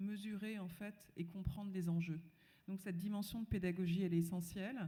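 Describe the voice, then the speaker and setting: Speaking at a moderate pace, the woman keeps her intonation fairly even. Her voice is medium in pitch. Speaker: panelist. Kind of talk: panel discussion.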